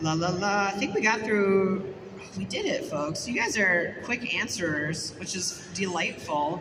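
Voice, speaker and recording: With an American accent, a woman speaks at a medium pitch and a fairly slow pace. Audible room echo and noticeable background noise fill the recording. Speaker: convention panel moderator. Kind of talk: live panel Q&A. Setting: stage with audience. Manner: animated.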